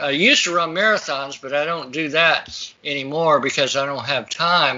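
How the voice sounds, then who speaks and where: Ordinary pitch variation and a fairly quick pace in an unremarkable speaking voice. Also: man. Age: 60s. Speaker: natural health practitioner. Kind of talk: interview.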